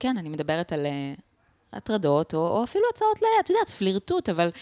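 The recording is very clean, with a silent background and a dry, close sound that has no echo. A woman speaks at a medium pitch and a fairly quick pace. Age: 20s. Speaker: stand-up comedian. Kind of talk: casual interview chat.

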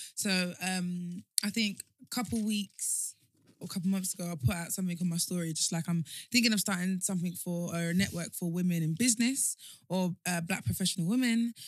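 A woman talks at a fairly quick pace with a medium pitch and ordinary pitch variation. Her voice is somewhat breathy. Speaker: guest, founder of a women's network. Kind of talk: casual chat.

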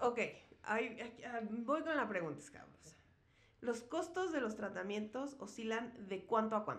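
With audible room echo, a woman speaks slowly-ish at a fairly slow pace in a fairly high pitch with lively intonation. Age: 30s. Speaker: podcast host. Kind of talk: casual chat.

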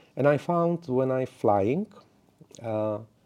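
A man speaks with a Czech accent in a dark, mellow tone. His medium pitch shows ordinary variation, and the sound is dry and close with no echo. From Czech Republic. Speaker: network engineer and community evangelist. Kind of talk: interview. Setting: studio. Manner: halting.

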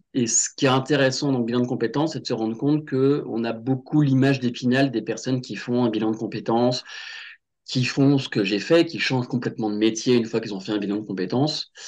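A man's medium-pitched voice at a fairly quick pace, an ordinary speaking voice with ordinary pitch variation, over a quiet background. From western France, Loire-Atlantique (Nantes). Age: 30s. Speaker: career change coach. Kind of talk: casual interview.

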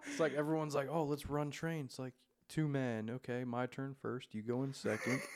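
A normal speaking voice from a man, at a moderate pace with fairly even intonation. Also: medium pitch for a man. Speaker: podcast host and comedian. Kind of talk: casual chat. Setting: studio.

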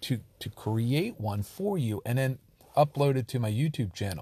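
A man's dark, mellow, somewhat breathy voice with ordinary pitch variation, on a very clean recording over a silent background. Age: 40s. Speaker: SEO and digital marketing consultant. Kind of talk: solo monologue podcast. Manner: halting, frequent repetitions.

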